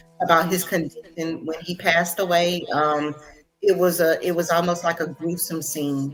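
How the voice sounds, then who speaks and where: A woman speaks at a fairly slow pace in a fairly low pitch. Music plays in the background. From Louisiana (Lake Charles). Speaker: bereaved mother. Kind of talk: interview testimony. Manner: halting.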